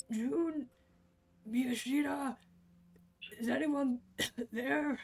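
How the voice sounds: The speaker uses a croaky, put-on character voice at a fairly high pitch. The pace is very slow.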